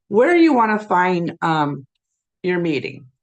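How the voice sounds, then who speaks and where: At a fairly slow speed, a woman talks in an ordinary speaking voice. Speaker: life coach and networking chapter leader. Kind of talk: tutorial walkthrough of a website. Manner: casual with many fillers.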